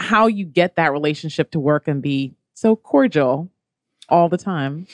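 The speaking is fairly slow, with lively intonation in an ordinary speaking voice. The sound is dry and close, with no echo. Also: woman. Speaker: radio host. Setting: radio studio.

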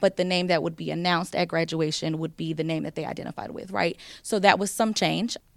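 A woman with an American accent talks at a very fast pace in a fairly low pitch with ordinary pitch variation, on a very clean recording with a silent background. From US South. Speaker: county community engagement manager. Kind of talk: panel discussion.

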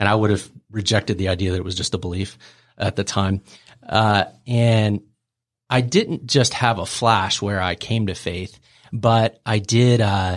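Recorded very cleanly with a silent background, a man with a plain, everyday voice speaks at a fairly low pitch and moderate pace, his intonation fairly even. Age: 40s. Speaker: startup founder and CEO. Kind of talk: podcast interview.

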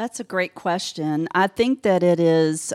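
An ordinary speaking voice with an American accent, fairly slow in pace with ordinary pitch variation, in a dry, close sound with no echo. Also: woman. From Georgia, US South. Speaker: insurance agency owner. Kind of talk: interview. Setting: studio.

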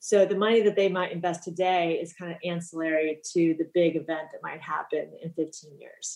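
A woman with an American accent talks at a moderate pace with hardly any pauses, using a fairly low pitch, monotone, flat intonation and big swings in loudness. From US West Coast, Los Angeles. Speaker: financial planner. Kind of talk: interview. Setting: studio.

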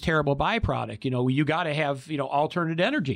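A man's plain, everyday voice with an American accent, fairly high in pitch, at a fairly quick pace with ordinary pitch variation, against a quiet background. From Michigan, Detroit area. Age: 50s. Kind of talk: casual panel discussion. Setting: studio.

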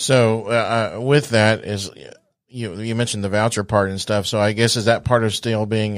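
A man's fairly low voice at a moderate pace, an ordinary speaking voice, on a very clean recording with a silent background. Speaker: radio host. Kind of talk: radio interview. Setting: studio. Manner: upbeat.

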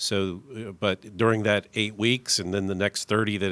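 With an unremarkable speaking voice, a man talks at a fairly low pitch, a moderate pace and with fairly even intonation, in a dry, close sound with no echo and a very clean recording with a silent background. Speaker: bank loan officer. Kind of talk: business radio interview. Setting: studio.

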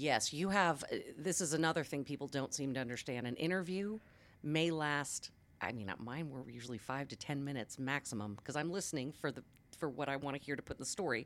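Very fast and very deep, low in pitch, a woman speaks with ordinary pitch variation in a very clean recording with a silent background. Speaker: television journalist and media coach. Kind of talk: casual interview chat. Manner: fast talker.

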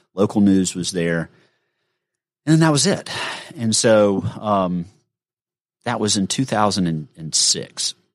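In a Southern US accent, the speaker goes at a very slow pace with long, frequent pauses and lively intonation on a very clean recording with a silent background. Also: man, fairly low pitch for a man. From Gainesville, Georgia. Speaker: financial advisor. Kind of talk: casual chat. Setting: studio.

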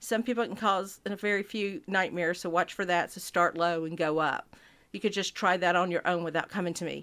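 A woman's ordinary speaking voice with an American accent, fairly quick in pace and with ordinary pitch variation, in a very clean recording with a silent background. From Georgia (US South). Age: 50s. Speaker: physician. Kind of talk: interview.

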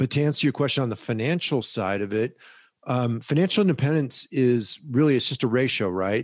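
The sound is dry and close with no echo and a quiet background as a man talks in a normal speaking voice at a fairly quick pace with ordinary pitch variation. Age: 60s. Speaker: personal finance educator, former hedge fund founder. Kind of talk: interview.

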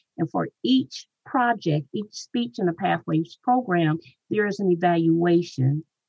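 Somewhat breathy and fairly slow, the voice has lively intonation in a dry, close sound with no echo. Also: woman. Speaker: Toastmasters club leader. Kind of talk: interview answers. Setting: radio studio.

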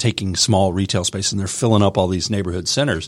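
A man talks in a normal speaking voice, fairly low in pitch with fairly even intonation. The recording is very clean, with a silent background. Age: 30s. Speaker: radio show host. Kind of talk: radio interview. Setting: studio.

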